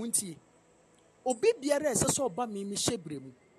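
At a moderate pace, the voice continues as music plays behind it. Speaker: preacher. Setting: church.

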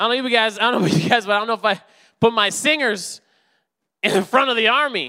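A man talks very fast in a high, raised and projected voice with a bright, sharp, animated tone. His pitch varies normally, and he leaves long, frequent pauses. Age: 30s. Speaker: preacher. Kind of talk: sermon.

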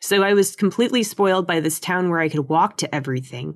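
Against a quiet background, a woman with an American accent speaks at medium pitch with lively intonation. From San Diego, California. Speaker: community group organizer. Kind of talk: casual chat.

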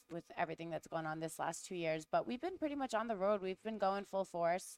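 Using lively intonation, a woman with a Rhode Island accent talks at a fairly quick pace in a medium pitch, with a dry, close sound with no echo. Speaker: cigar distributor rep.

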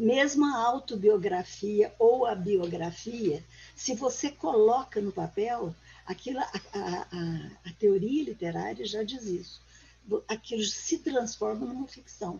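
Lively intonation at a very slow pace, with big swings in loudness and noticeable background noise. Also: woman, fairly high pitch for a woman. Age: 80s+. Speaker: author and retired teacher. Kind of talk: interview conversation.

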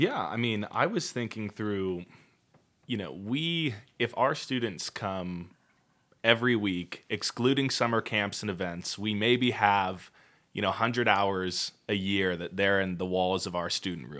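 A man with an American accent has a normal speaking voice, fairly low in pitch. He talks at a fairly slow pace with ordinary pitch variation in a very clean recording with a silent background. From Washington State, Puyallup. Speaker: youth pastor. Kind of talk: casual chat.

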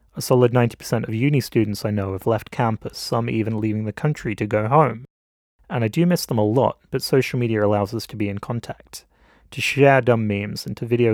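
Recorded very cleanly with a silent background and a dry, close sound with no echo, a man with an English accent talks very fast at a medium pitch with ordinary pitch variation. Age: 20s. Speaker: film student and podcast host. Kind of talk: scripted narration.

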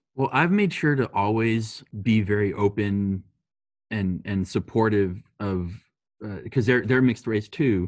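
A man with an American accent speaks at a fairly slow pace in a fairly low pitch with ordinary pitch variation and an unremarkable speaking voice, on a very clean recording with a silent background. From US, Texas-Mexico border. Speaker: podcast guest, coworker of host. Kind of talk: casual chat.

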